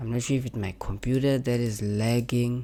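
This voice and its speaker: A non-native accent is heard. The talking moves at a moderate pace. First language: not English. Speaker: graphic design tutorial creator. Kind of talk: tutorial. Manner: halting, repetitive.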